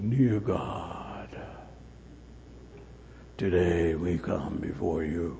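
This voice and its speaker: A man uses a put-on character voice at a very deep, low pitch, speaking at a very slow pace. Long, frequent pauses come through over clear background noise. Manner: pious, solemn.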